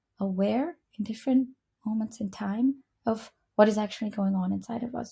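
At a moderate pace, a woman talks in a medium pitch with a somewhat breathy quality. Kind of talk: software update walkthrough. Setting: screen-recorded video.

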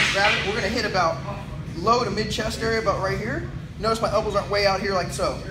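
A man races along at a very fast pace while noticeable background noise plays underneath. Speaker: fitness vlogger. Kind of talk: tutorial. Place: gym.

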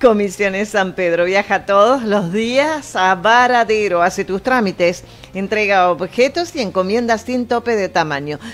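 Against noticeable background noise, a woman of medium pitch speaks at a fairly slow pace. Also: ordinary pitch variation. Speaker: radio co-host. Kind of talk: casual chat and reading ads. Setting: studio.

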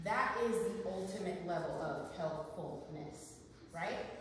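Strong room echo fills this woman's voice. Light background noise is also present. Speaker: nurse practitioner and wellness speaker. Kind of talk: live talk to an audience. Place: meeting room. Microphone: camera far.

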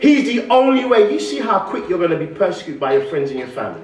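Pitch swings very widely as a man talks amid audible room echo and light background noise. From London. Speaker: guest preacher. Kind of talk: sermon. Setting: church. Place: church. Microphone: podium.

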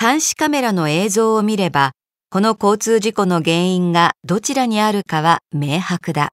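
A woman with a plain, everyday voice speaks at a fairly slow pace and medium pitch with lively intonation, in a very clean recording with a silent background and a dry, close sound with no echo. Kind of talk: reading aloud. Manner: formal.

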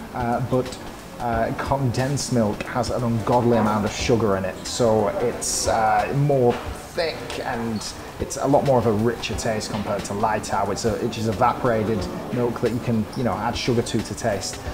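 Clear music plays in the background. Over it, a man speaks with fairly even intonation. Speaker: food vlog host. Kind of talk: casual vlog chat. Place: cafe. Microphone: lapel.

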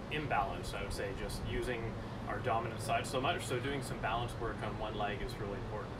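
A man speaks at a fairly quick pace. Loud background noise runs behind him. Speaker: fitness coach. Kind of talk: workout instruction. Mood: relaxed, light joking. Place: garden. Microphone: camera far.

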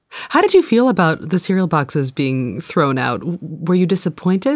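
In a normal speaking voice, a woman talks at a moderate pace and a fairly low pitch, her intonation lively. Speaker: podcast co-host and interviewer. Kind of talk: casual chat and interview. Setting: studio.

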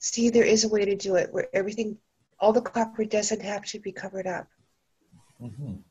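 Against a quiet background, a woman talks at a fairly quick pace, somewhat breathy, with fairly even intonation. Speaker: hobbyist device builder. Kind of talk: casual chat. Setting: video call. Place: home room. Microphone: video call.

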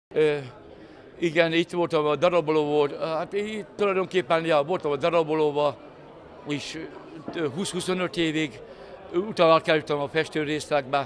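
With light background noise behind him, a man speaks fairly slowly with long, frequent pauses, in a fairly high pitch and fairly even intonation. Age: 60s. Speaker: factory worker. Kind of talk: interview. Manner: halting. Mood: relaxed, good-humoured. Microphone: handheld.

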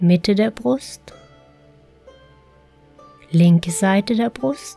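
Music plays behind a woman who talks very slowly in a calm tone. Her intonation is lively. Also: medium pitch for a woman. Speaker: meditation guide. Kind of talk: guided relaxation meditation. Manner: slow, calm.

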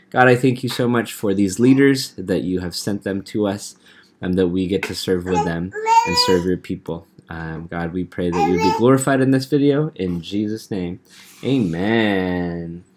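A man talks at a moderate pace with a very deep, low pitch. His intonation is lively, and there is noticeable background noise. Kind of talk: training presentation.

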